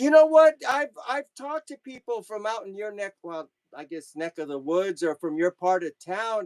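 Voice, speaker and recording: Speaking at a moderate pace in an American accent, a man's high pitch swings very widely while his loudness varies a lot, with a dry, close sound and no echo. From Southern California, LA/Orange County border. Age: 60s. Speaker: music memorabilia collector and social media creator. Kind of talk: casual chat. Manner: halting, repeats words.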